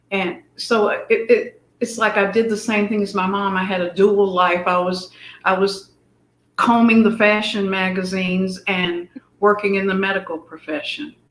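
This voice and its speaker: In an unremarkable speaking voice, a woman talks at a moderate pace and medium pitch with fairly even intonation. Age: 60s. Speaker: fashion guest, former Air Force medic. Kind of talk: interview.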